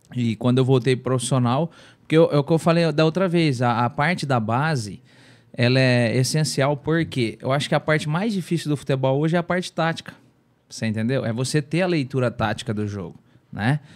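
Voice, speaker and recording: Over a quiet background, a man talks at a fairly quick pace in a medium pitch with ordinary pitch variation. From Brazil. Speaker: former footballer; podcast guest. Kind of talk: casual chat. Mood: relaxed, reflective storytelling. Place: studio. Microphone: studio mic.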